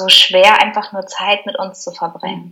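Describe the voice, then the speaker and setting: A woman talks at a moderate pace. She has an ordinary speaking voice. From Germany. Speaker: spiritual mentor. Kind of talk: interview conversation.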